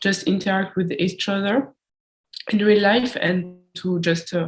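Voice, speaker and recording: A woman's somewhat breathy, medium-pitched voice with a French accent, at a moderate pace with ordinary pitch variation. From France. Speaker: student podcast interviewer. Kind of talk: casual chat.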